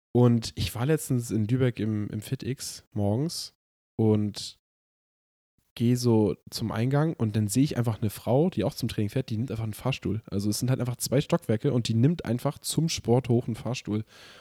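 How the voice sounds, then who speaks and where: A man speaks at a medium pitch with a dark, mellow tone, ordinary pitch variation and a moderate pace. The recording is very clean, with a silent background. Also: dry, close sound with no echo. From northern Germany, Hamburg area. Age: 20s. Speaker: podcast co-host. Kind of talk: casual chat.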